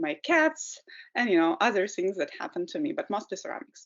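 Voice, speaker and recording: A woman with a Ukrainian accent talks in a fairly high pitch that makes very wide swings. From Ukraine. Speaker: potter and environmental educator. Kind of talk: webinar presentation. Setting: video call webinar.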